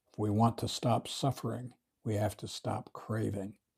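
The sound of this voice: An unforced reading voice is heard here against quiet surroundings. Its intonation stays fairly level.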